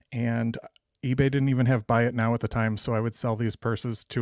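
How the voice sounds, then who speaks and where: With an American accent, a man speaks at a medium pitch in a monotone, flat delivery. The recording is very clean and dry, close with no echo, over a silent background. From Dallas, Texas. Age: 40s. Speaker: real estate investor. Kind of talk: interview.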